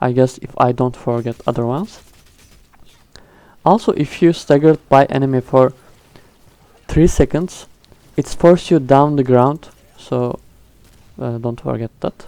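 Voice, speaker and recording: Fairly slow speech in a non-native accent, broken by long, frequent pauses. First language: not English. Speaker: gaming youtuber. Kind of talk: tutorial. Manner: halting.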